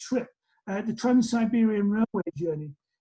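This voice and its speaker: In a Lancashire accent, a man talks at a high pitch. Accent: northern English, Lancashire. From northern England, Lancashire. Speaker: college president. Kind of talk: interview. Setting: video call.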